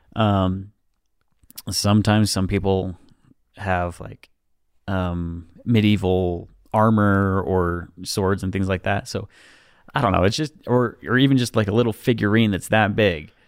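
A man with a fairly low pitch speaks with long, frequent pauses. His intonation is fairly even, and the recording is very clean with a silent background. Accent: American. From Utah, US. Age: 20s. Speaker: drainage technician. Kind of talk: casual chat. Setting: studio.

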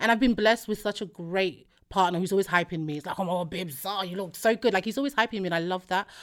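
On a very clean recording with a silent background, a woman of medium pitch talks at a very fast pace. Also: ordinary pitch variation. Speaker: podcaster. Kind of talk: casual chat. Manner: animated.

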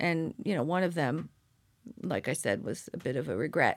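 Speaking at a moderate pace with an American accent, the voice shows vocal fry and very wide pitch swings. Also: woman. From Southern California, Orange County. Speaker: company founder. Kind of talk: interview. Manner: halting, many fillers.

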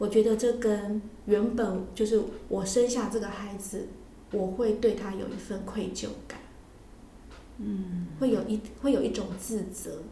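Fairly slow, fairly even speech with long, frequent pauses and big swings in loudness, plus audible room echo and noticeable background noise. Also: woman, medium pitch for a woman. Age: 40s. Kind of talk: casual interview chat.

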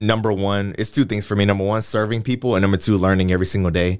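A man with an American accent has a plain, everyday voice. His pitch is fairly low and his intonation fairly even. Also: quiet background. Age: 20s. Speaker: fashion week organizer and clothing designer. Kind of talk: casual interview.

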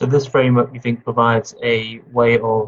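Fairly quick and somewhat breathy, a man speaks at a medium pitch with monotone, flat intonation. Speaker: interviewer. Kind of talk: interview questions.

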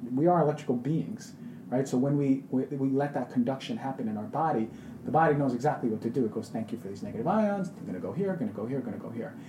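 Noticeable background noise surrounds a man who talks at a very fast pace and medium pitch, his voice swinging very widely in pitch. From Queens, New York. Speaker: functional medicine doctor. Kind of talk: casual interview.

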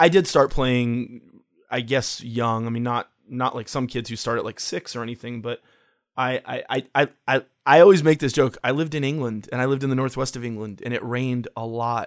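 A man talks in a plain, everyday voice at a medium pitch and a moderate pace. His pitch varies in an ordinary way on a very clean recording with a silent background. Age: 40s. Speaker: photographer, designer and musician. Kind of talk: interview.

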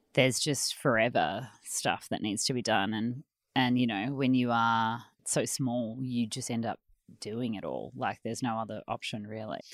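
On a very clean recording with a silent background, a woman with an Australian accent speaks in a very deep, low pitch at a moderate pace with fairly even intonation. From Australia, Melbourne. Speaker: textile designer and business owner. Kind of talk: casual chat.

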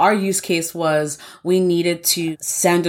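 A woman with an American accent has an ordinary speaking voice, a fairly low pitch and fairly even intonation. She talks at a fairly slow pace on a very clean recording with a silent background. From New York. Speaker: software engineer. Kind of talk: interview.

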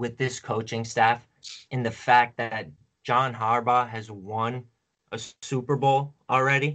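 Here is a plain, everyday voice belonging to a man. He talks at a moderate pace with a medium pitch. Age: 20s. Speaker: fantasy football analyst. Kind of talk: casual chat.

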